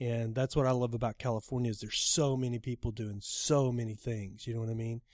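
The speaker talks very fast in an American accent, with hardly any pauses and a monotone, flat intonation. The recording is very clean, with a silent background. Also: man, medium pitch for a man. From Texas, Dallas. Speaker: photographer. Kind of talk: casual chat. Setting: studio.

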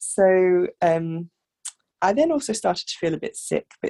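A woman's voice in a southern English accent, the sound dry and close with no echo. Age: 30s. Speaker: midwife. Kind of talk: interview, personal story.

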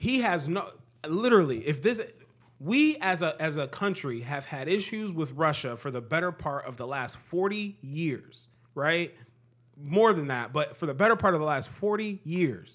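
Lively intonation and a moderate pace from a man with an unremarkable speaking voice, fairly high in pitch. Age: 20s. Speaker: podcast host. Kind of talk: casual chat.

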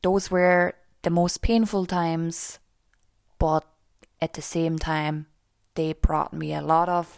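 A woman with a fairly low pitch talks at a very slow pace. The recording is very clean, with a silent background and a dry, close sound free of echo. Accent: German. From Austria. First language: German. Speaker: life and mindset coach. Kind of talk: podcast monologue.

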